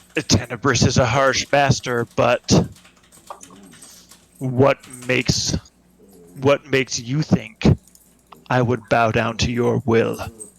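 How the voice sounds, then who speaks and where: A man in a put-on character voice, gravelly and medium-pitched, talks at a fairly slow pace in a flat monotone broken by long, frequent pauses. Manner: murmuring.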